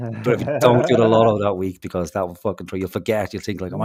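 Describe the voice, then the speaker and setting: Speaking at a very fast pace with a Dublin accent, a man with a fairly low voice comes through noticeable background noise. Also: ordinary pitch variation. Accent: Irish, Dublin. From Dublin, Ireland.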